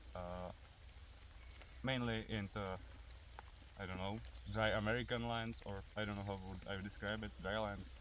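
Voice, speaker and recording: With a Czech accent, a man speaks at a fairly low pitch and moderate pace with ordinary pitch variation and long, frequent pauses, amid audible room echo. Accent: Czech accent, noticeable. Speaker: airsoft and survival video creator. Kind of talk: outdoor tutorial. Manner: hesitant, many fillers.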